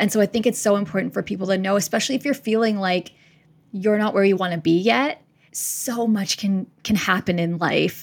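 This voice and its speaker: A woman with a Canadian accent, an ordinary speaking voice, medium pitch, ordinary pitch variation and a fairly quick pace. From Winnipeg, Canada. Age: 30s. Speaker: podcast host and career coach. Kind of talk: podcast interview.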